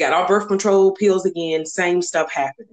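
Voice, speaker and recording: A woman talks with a Southern US accent at a moderate pace. Her pitch varies in an ordinary way. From US South, North Carolina. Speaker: guest sharing infertility story. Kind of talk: interview testimony.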